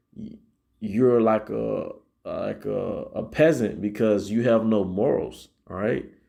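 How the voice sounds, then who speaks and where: Heard over an audible room echo, the voice moves at a very slow pace. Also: man. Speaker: Hebrew Israelite teacher. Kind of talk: sermon. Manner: halting, repeats words; says 'all right' constantly.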